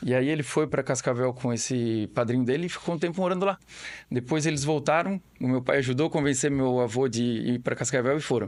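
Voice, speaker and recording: Over a quiet background, a man with a Florianópolis accent talks at a fairly quick pace with very even loudness. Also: medium pitch for a man, ordinary pitch variation. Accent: Florianópolis manezinho. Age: 40s. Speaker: family business owner. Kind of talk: podcast interview. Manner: halting, with repetitions.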